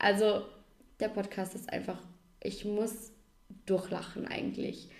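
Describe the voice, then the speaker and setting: Audible room echo surrounds a woman speaking at medium pitch and a fairly slow pace. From Austria, Vorarlberg. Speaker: podcast co-host. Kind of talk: casual chat.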